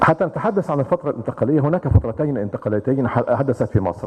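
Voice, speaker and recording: A man with an Arabic accent rattles off words at a very fast pace in a fairly high pitch, his intonation lively amid noticeable background noise. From Egypt. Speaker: retired army general, think tank chairman. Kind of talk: conference presentation. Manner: formal.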